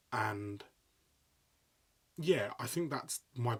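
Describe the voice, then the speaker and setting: This is a man with a medium-pitched voice. He sounds somewhat breathy. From London, England. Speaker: sports commentator and presenter. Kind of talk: podcast interview. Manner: animated, excitable.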